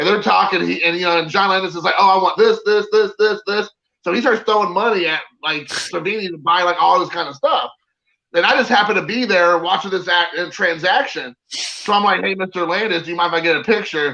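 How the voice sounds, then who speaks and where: A man with an American accent and a high, bright, sharp voice projects it loudly at a fairly quick pace, with ordinary pitch variation. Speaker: autograph collector. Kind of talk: casual chat. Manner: animated storytelling.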